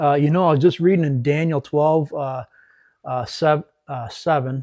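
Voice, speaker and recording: With an Upper Midwest accent, a man speaks at a moderate pace in a dark, mellow tone, fairly high in pitch with ordinary pitch variation, the sound dry and close with no echo. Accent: Upper Midwest American. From West Michigan. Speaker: ministry leader, military veteran. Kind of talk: faith talk interview.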